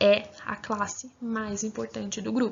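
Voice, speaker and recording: A woman's fairly high, somewhat breathy voice. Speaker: grammar teacher. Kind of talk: lecture.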